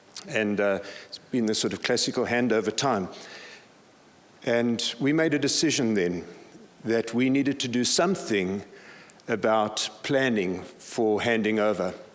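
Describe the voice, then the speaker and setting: There is audible room echo as a man speaks at a fairly slow pace and medium pitch, with ordinary pitch variation and long, frequent pauses. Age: 60s. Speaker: pastor. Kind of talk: conference talk.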